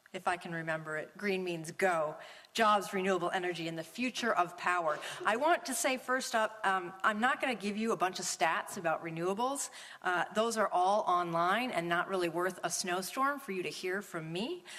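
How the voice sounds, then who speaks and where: In an American accent, a woman talks at a medium pitch over noticeable background noise. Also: ordinary pitch variation, moderate pace. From Minnesota. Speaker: policy researcher and speaker. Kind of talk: lecture.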